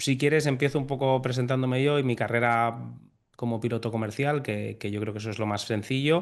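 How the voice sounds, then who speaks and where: In a normal speaking voice, a man talks at a fairly quick pace with medium pitch and fairly even intonation. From Spain, Navarre (Pamplona). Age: 30s. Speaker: airline captain. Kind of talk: interview podcast.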